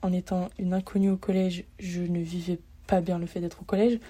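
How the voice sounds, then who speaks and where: Over a silent background in a very clean recording, a woman talks at a fairly quick pace in a medium pitch, her dark, mellow tone somewhat breathy and her intonation monotone and flat. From France, Lyon. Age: 20s. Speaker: podcaster, student. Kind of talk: personal monologue. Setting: laundry room of an apartment. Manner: hesitant.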